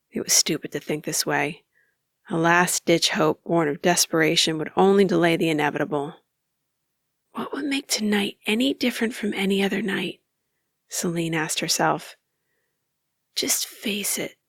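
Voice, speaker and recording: Long, frequent pauses break up this woman's moderate pace, her pitch fairly low with ordinary variation. The sound is dry and close, with no echo. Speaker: voice actor. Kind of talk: audiobook narration.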